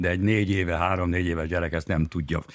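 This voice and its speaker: The recording is very clean with a silent background. A man speaks at a very deep, low pitch. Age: 70s. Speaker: bereaved widower. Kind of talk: interview.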